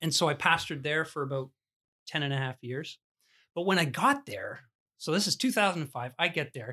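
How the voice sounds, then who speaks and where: A man with a Canadian accent speaks at a fairly quick pace, with long, frequent pauses, a fairly high pitch, and ordinary pitch variation. His tone is bright and sharp, on a very clean recording with a silent background. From Ontario, Canada. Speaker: pastor. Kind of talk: interview conversation.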